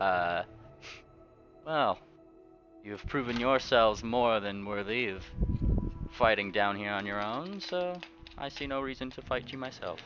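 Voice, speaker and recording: Over clear background music, a put-on character voice rumbles at a moderate pace with long, frequent pauses. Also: man, medium pitch for a man. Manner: calm, formal.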